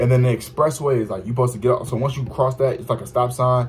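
Over faint background music, a man talks very fast. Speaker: vlogger. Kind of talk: casual vlog chat, story time. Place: home room. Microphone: phone near.

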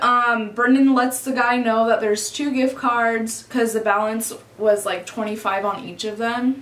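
Over audible room echo, a woman with a high voice speaks at a fairly slow pace. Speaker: vlogger. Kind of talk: casual storytime vlog chat. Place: home room.

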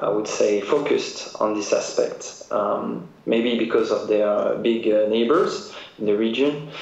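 Through noticeable background noise and audible room echo, a man speaks very slowly in a French accent. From France. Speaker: trade agency director. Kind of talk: interview.

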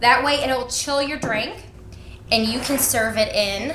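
A woman speaks in a raised, projected voice, with audible room echo and light background noise. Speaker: cooking show host. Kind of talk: tutorial. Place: kitchen.

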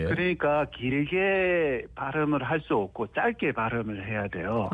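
A man talks at a very slow pace with a fairly high pitch. His pitch swings very widely while his loudness stays very even. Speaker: university professor of Korean language education. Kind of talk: radio interview answer. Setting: phone line.

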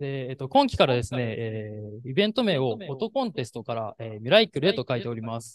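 A man talks at a very fast pace with lively intonation and big swings in loudness. The sound is dry with no echo. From Japan (Shizuoka). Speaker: event emcee, company employee. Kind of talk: formal event hosting. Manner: polite, many fillers. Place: hall. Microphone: handheld.

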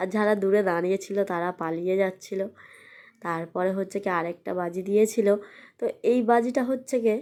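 Recorded very cleanly against a silent background, a woman speaks at a medium pitch with a dark, mellow tone and fairly even intonation. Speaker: vlogger. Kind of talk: vlog narration.

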